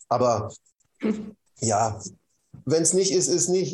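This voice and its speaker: A somewhat breathy voice with a dark, mellow tone. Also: man. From East Germany. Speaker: meditation teacher and former engineer. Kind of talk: interview.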